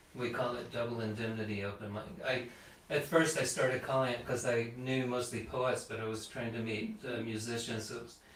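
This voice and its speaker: A man with an American accent, monotone and flat in intonation, amid audible room echo and noticeable background noise. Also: medium pitch for a man, fairly quick pace. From Texas, Houston. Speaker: songwriter and musician. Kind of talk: casual chat. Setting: live stream, living room.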